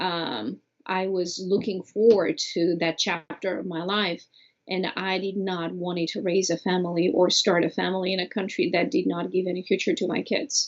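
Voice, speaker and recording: With a Bulgarian accent, a woman speaks at a moderate pace in a medium pitch with ordinary pitch variation. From Bulgaria (Sofia). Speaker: immigrant, former au pair. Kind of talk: interview.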